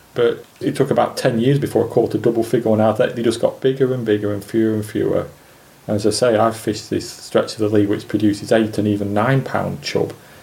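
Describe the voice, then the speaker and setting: Over noticeable background noise, a man with a Lancashire accent talks very fast at a medium pitch in a monotone, flat delivery. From Lancashire, England (Preston). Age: 50s. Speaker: specimen angler. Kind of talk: interview.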